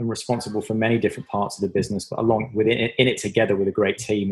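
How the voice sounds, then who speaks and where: A man at a very fast pace, fairly low pitch and monotone, flat intonation. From southwest England, Devon. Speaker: tech company marketing executive. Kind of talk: interview.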